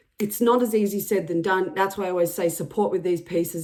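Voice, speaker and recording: Fairly even intonation from a woman, noticeable noise in the background. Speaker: psychic energy reader. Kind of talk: channeled energy reading.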